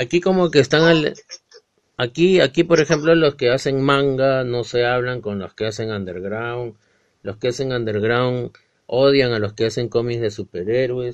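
A man with a Peruvian accent, medium pitch and ordinary pitch variation. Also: moderate pace. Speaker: podcast host. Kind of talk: casual chat.

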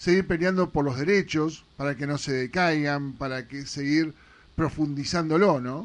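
The man talks fairly slowly, his pitch varying in an ordinary way. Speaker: radio host. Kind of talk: radio interview. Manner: halting, repeats words.

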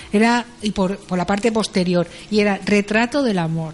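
A woman speaks at a medium pitch. Noticeable background noise sits behind her voice. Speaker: news curiosities contributor. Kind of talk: casual chat. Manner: animated.

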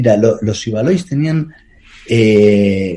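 This man's voice has a dark, mellow tone and is somewhat breathy. His intonation is lively. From Spain, Palencia. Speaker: travel documentary filmmaker. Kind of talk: interview.

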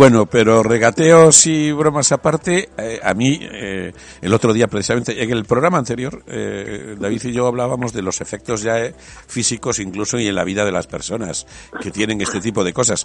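Using a plain, everyday voice, a man speaks at a moderate pace and medium pitch with ordinary pitch variation. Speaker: radio host. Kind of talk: radio talk show.

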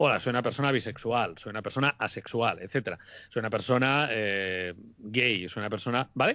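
A man speaking at a fairly quick pace. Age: 40s. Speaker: YouTuber. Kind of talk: interview.

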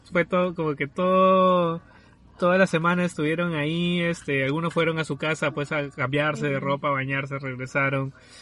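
A man with an unremarkable speaking voice, fairly high in pitch, at a moderate pace with fairly even intonation. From Peru, southern Lima. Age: 20s. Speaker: podcast host, architect. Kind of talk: casual chat. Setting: remote recording from separate locations.

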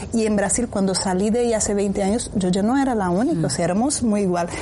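Noticeable background noise sits behind a woman speaking at a fairly quick pace. Her voice is medium in pitch with ordinary pitch variation. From rural interior of Brazil. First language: Portuguese (speaking Spanish). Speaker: tech education company CEO. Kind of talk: panel interview.

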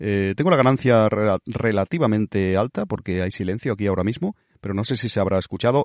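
Against a quiet background, the speaker moves at a fairly quick pace with ordinary pitch variation in a dry, close sound with no echo. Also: man. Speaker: podcast host. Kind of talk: casual monologue. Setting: airport.

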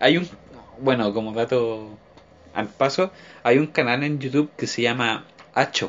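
A man with a Chilean accent speaks with ordinary pitch variation and long, frequent pauses. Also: medium pitch for a man, fairly slow pace. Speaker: podcast co-host. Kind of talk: casual chat.

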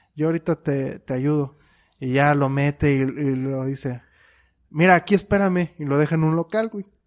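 Fairly high voice of a man in a Mexican accent, ordinary pitch variation, and a dry, close sound with no echo. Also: moderate pace. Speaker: podcast co-host. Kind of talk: casual chat.

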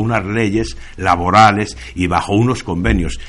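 A man with a normal speaking voice and ordinary pitch variation. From Spain, El Bierzo (León). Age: 50s. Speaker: former miner and union leader. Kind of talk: radio interview.

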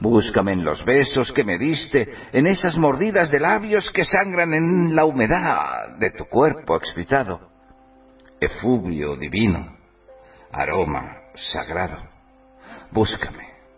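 A man's fairly high voice at a very slow pace, with very wide pitch swings, long, frequent pauses and music in the background. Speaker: radio host. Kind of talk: poetry declamation of romantic, sensual verse, read dramatically. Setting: online radio studio.

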